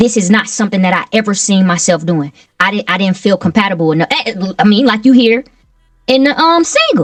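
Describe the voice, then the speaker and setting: Speaking with a slight Southern US accent, a woman with a fairly high pitch sounds somewhat breathy, her intonation lively. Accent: slight Southern drawl. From Milwaukee, Wisconsin. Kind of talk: interview.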